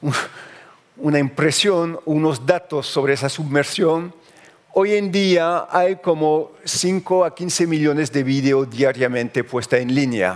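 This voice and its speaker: This man's pitch is fairly high and varies in an ordinary way. He talks at a very slow pace. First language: French (speaking Spanish). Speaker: journalist. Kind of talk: conference talk. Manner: halting.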